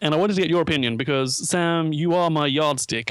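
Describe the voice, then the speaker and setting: This is a man with a normal speaking voice. His pitch is fairly high, with ordinary variation. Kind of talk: casual chat. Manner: bantering, joking.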